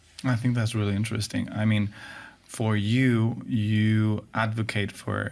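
A man with a Spanish accent speaks at a fairly slow pace and a fairly low pitch in a monotone, flat way. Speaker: podcast host. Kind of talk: casual chat. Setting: studio.

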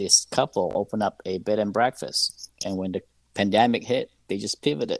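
A man with a normal speaking voice talks at a fairly quick pace. His fairly low pitch shows ordinary variation, and the sound is dry and close with no echo. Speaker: hospitality school dean. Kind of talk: live radio call-in discussion.

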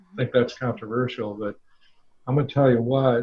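With an unremarkable speaking voice, a man talks at a medium pitch and a fairly quick pace, using ordinary pitch variation. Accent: American. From US Midwest, Omaha, Nebraska. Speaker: former business executive. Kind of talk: casual interview.

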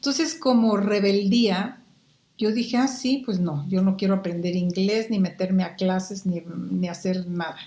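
A woman with a Mexican accent speaks at medium pitch and a fairly slow pace amid noticeable background noise. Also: ordinary pitch variation. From Guatemala, Quetzaltenango. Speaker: market researcher. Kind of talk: interview. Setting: video call.

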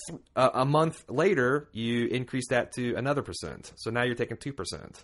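A man with a normal speaking voice talks at a fairly high pitch and a moderate pace, using ordinary pitch variation and big swings in loudness with hardly any pauses, over a quiet background. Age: 30s. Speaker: podcast co-host. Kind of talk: casual chat.

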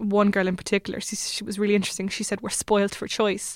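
A woman with an Irish accent at medium pitch, in a very clean recording with a silent background. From Ireland, Limerick. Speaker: PhD researcher. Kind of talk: interview.

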